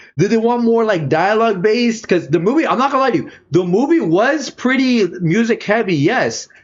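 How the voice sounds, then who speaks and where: The tone is animated, with lively intonation and hardly any pauses. Loudness stays very even throughout. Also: man, high pitch for a man. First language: not English. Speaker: streamer. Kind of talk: casual reaction commentary.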